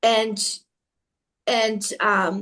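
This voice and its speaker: In a non-native accent, a woman speaks with a fairly high pitch. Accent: foreign. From outside the US. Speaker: network marketing presenter. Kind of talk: video call presentation.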